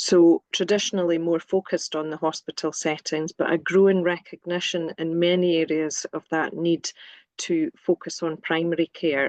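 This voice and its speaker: With a Scottish accent, a woman speaks at a moderate pace in a fairly low voice with monotone, flat intonation, the sound dry and close with no echo. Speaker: nursing academic. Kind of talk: webinar presentation.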